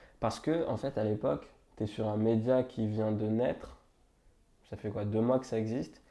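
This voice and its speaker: Dark and mellow in tone, a man's medium-pitched voice moves at a moderate pace with ordinary pitch variation and long, frequent pauses. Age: 20s. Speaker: journalist. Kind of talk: casual chat. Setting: at home on a sofa.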